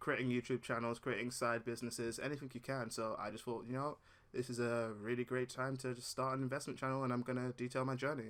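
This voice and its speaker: Words come out very quickly from a man. His pitch is medium. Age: 20s. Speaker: investing YouTuber. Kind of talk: casual vlog introduction. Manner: casual, chatty.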